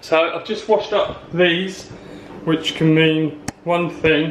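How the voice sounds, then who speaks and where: A man with an English accent, fairly high-pitched and fairly even in intonation, at a fairly slow pace over noticeable background noise. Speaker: vlogger with chronic illness. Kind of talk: casual vlog. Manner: hesitant; whispering.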